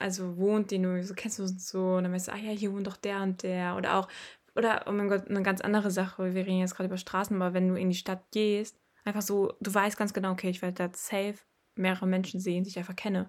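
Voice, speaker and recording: In a very clean recording with a silent background, a woman speaks very fast with monotone, flat intonation. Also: medium pitch for a woman. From Ruhr area, Germany (Bottrop). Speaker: podcast host and reporter. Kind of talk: casual chat. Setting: sitting next to her brother in the family home.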